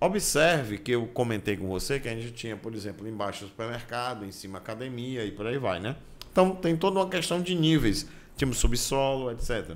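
A man talks at a fairly quick pace, with very wide pitch swings and big swings in loudness. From Brazil. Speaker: construction management instructor. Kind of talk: tutorial. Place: home room. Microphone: studio mic.

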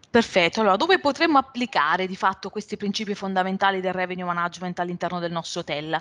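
Speaking at a very fast pace, a woman barely pauses at all. Her pitch is medium and varies an ordinary amount. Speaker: revenue management consultant; webinar presenter. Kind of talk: webinar presentation. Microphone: video call.

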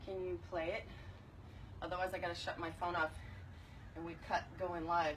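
Against light background noise, a woman talks at a moderate pace in a fairly low pitch with monotone, flat intonation. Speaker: fitness instructor. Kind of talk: live workout instruction and viewer chat. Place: garden. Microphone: phone near.

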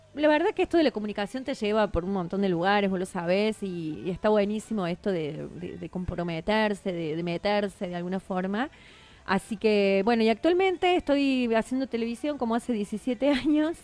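A woman's medium-pitched voice, a plain, everyday voice, with lively intonation at a moderate pace and a dry sound with no echo. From Argentina, Córdoba province. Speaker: TV journalist and presenter; TV journalist, presenter. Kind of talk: radio interview. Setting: radio studio. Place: studio.

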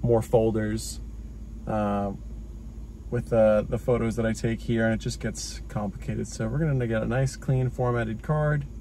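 Light background noise sits behind a man speaking at a moderate pace. The sound is dry, with no echo. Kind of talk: casual tutorial vlog. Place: car.

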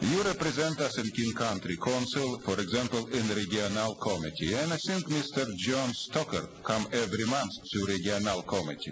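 With hardly any pauses, the voice moves at a moderate pace with lively intonation and very even loudness over noticeable background noise. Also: man, medium pitch for a man. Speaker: public commenter at city council, activist. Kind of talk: angry rant, accusatory public comment. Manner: insistent, indignant, repeating pointed questions; fiery, accusatory, blunt with broken grammar. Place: hall. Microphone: podium.

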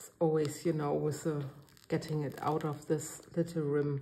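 Speaking with a German accent, a woman's voice sits very deep and low, somewhat breathy. She talks at a fairly slow pace in a monotone, flat intonation. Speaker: resin art crafter. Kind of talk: tutorial. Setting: home studio. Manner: hesitant, filler-heavy.

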